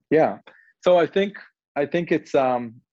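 A man with an Israeli accent speaks at a very slow pace. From southern Israel. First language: Hebrew. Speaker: real estate investment CEO. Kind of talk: interview. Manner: hesitant, many fillers.

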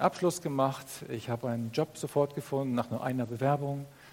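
A man with an ordinary speaking voice, medium in pitch, at a moderate pace. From northern Germany. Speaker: pastor. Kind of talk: sermon.

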